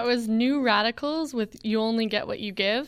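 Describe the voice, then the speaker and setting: A woman talks at a moderate pace in a plain, everyday voice, her pitch varying in an ordinary way. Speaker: radio co-host. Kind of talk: radio DJ patter, casual banter introducing songs between tracks. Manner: casual, laid-back, giggly.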